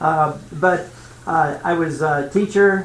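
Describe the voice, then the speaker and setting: Against noticeable background noise and audible room echo, a man speaks with fairly even intonation and a fairly high pitch. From central Indiana. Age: 60s. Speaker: retired school superintendent and consultant. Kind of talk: self-introduction at a school board meeting. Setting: school board meeting. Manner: casual, with many fillers.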